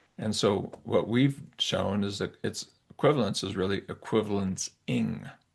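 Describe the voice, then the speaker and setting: Speaking with lively intonation, a man uses a fairly low pitch marked by vocal fry. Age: 70s. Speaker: psychology professor. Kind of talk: interview. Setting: podcast interview. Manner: halting, many restarts.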